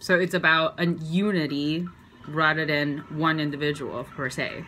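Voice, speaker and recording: Her pitch is very deep and low for a woman, and her intonation is monotone and flat. She speaks at a fairly slow pace. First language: Chinese. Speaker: video blogger. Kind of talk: casual explainer talk. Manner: casual, hesitant with fillers.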